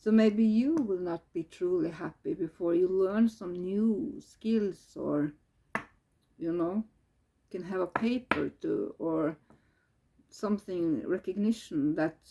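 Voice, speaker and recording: Someone with a Norwegian accent speaks at a very slow pace. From Norway. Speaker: tarot reader. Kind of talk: tarot reading. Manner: halting.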